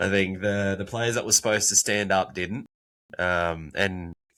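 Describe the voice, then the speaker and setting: This man speaks at a moderate pace with a fairly low pitch, fairly even intonation, and a bright, sharp tone in an Australian accent. The sound is dry and close with no echo, on a very clean recording with a silent background. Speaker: podcast co-host. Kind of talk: casual chat.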